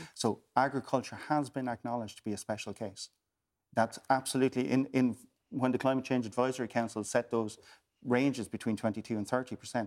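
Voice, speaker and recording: Recorded very cleanly against a silent background, a man with a Waterford accent talks at a fairly quick pace, medium pitch, and fairly even intonation. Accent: Irish, Waterford. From Ireland, West Waterford. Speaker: politician. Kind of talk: panel discussion.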